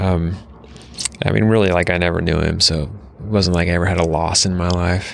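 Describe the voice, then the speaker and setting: Against noticeable background noise and audible room echo, a man speaks at a fairly quick pace in a very deep, low voice, with fairly even intonation and very even loudness. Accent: American. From Utah and Washington State. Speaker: city mayor. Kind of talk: casual interview.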